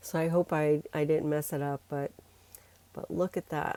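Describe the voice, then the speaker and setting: In a very deep, low voice with a dark, mellow tone, a woman speaks fairly slowly and in a flat monotone. The sound is dry and close, with no echo. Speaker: gel printing artist and teacher. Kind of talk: tutorial. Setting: voiceover recording. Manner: halting.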